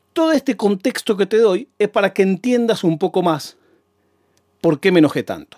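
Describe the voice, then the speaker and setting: Speaking with a Rioplatense accent, a man with a high pitch talks at a moderate pace with lively intonation and an animated tone, on a very clean recording with a silent background and a dry, close sound with no echo. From Argentina, Buenos Aires province. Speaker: podcaster. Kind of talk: monologue storytelling.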